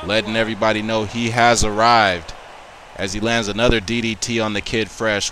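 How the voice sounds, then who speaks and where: A man talks at a moderate pace in a monotone, flat intonation, with noticeable background noise. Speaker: wrestling commentator. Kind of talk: live wrestling commentary. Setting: video game match recording, voiceover.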